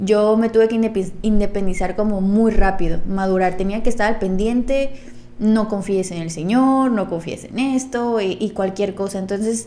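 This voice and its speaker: Audible room echo surrounds a woman speaking at a fairly slow pace, her fairly high pitch held in fairly even intonation. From Veracruz and Tijuana, Mexico. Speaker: popping dancer and podcast co-host. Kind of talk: casual chat.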